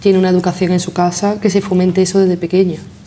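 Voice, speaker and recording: A woman of medium pitch with monotone, flat intonation, amid noticeable background noise. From Granada, Andalusia. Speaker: interview guest. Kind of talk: interview.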